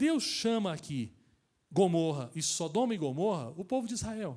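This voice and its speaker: Recorded very cleanly against a silent background, a man speaks at a moderate pace with a high pitch and very wide pitch swings. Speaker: pastor. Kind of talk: sermon.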